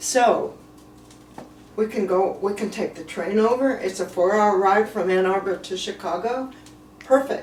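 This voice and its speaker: Against noticeable background noise, a woman at a medium pitch speaks at a fairly slow pace with ordinary pitch variation and long, frequent pauses. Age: 80s+. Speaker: birthday celebrant. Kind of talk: casual chat. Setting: video call.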